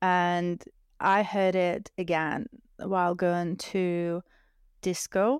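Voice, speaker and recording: In a very clean recording with a silent background, a woman with a Russian accent speaks very slowly with fairly even intonation and long, frequent pauses. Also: medium pitch for a woman, dry, close sound with no echo. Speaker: DJ and music producer. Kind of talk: casual interview chat.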